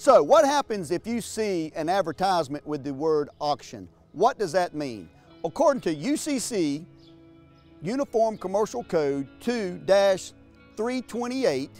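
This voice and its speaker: A man speaks at a high pitch and a fairly slow pace, his pitch swinging very widely. Music plays in the background. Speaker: auctioneer. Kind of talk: educational explainer to camera.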